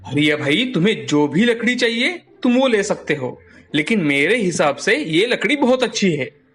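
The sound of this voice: Doing a put-on character voice, a man speaks at a moderate pace in a high pitch with big pitch swings, a fairly bright tone and a slightly husky edge.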